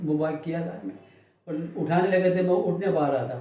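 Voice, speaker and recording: A man's high voice with fairly even intonation, amid noticeable background noise and audible room echo. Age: 70s. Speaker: accident victim interviewed by local news. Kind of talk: interview testimony. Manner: halting.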